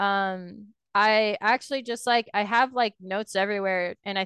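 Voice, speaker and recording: In an ordinary speaking voice, a woman talks at a moderate pace with medium pitch and fairly even intonation, the sound dry and close with no echo and the background quiet. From Canada. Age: 20s. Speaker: professional esports player. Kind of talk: casual interview.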